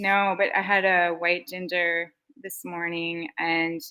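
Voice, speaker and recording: A plain, everyday voice, its pitch variation ordinary. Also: woman. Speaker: beverage company founder and CEO. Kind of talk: casual interview chat.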